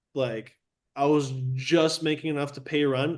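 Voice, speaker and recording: Against a quiet background, a man with a Chicago accent speaks in a monotone, flat intonation. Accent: Chicago American English. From Chicago southwest suburbs, US. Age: 20s. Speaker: real estate agent. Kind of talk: casual chat.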